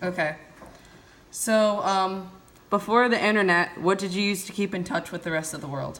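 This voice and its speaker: Moderately paced speech with fairly even intonation and long, frequent pauses, over noticeable background noise. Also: woman, medium pitch for a woman. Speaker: college student interviewer. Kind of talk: interview questions.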